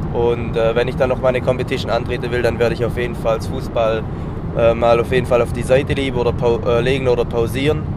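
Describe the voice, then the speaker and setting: A man talks at a fairly quick pace with fairly even intonation. Noticeable background noise and audible room echo fill the recording. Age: 20s. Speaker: amateur athlete. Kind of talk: interview. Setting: on the road, in a car.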